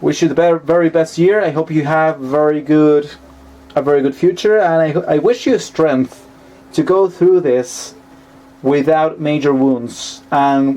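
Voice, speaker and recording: A man with a Spanish accent, fairly high pitch and fairly even intonation, noticeable background noise. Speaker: tarot reader. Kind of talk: tarot reading monologue. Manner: halting, with self-corrections.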